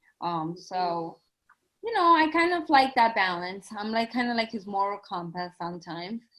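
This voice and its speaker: Her pitch swinging very widely around a medium level, a woman with a Spanish accent speaks at a moderate pace. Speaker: educator. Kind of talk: casual chat.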